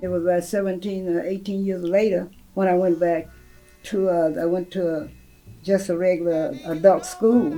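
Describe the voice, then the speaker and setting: Speech in a Southern US accent at a moderate pace with fairly even intonation, music in the background. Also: woman, medium pitch for a woman. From Tennessee, USA. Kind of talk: interview answer.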